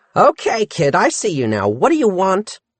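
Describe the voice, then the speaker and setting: A man puts on a character voice, pitched high and delivered at a moderate pace. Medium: read story. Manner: brusque, impatient.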